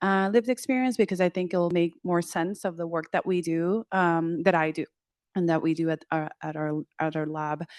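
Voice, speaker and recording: Recorded dry and close with no echo over a quiet background, a woman with a Spanish accent speaks at a moderate pace, her fairly low pitch showing ordinary variation. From Puerto Rico. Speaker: clinical psychologist and professor. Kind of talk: panel discussion.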